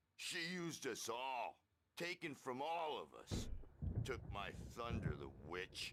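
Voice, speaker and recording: Using a put-on character voice, a man speaks at a medium pitch with long, frequent pauses. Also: fairly slow pace. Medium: video game. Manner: rambling, hippie slang.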